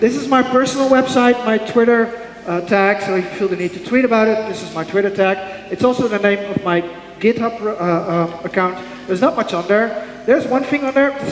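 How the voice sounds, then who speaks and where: A man at a high pitch and fairly quick pace, with ordinary pitch variation, audible room echo and noticeable background noise. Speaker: software architect and conference speaker. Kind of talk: conference talk. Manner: fast.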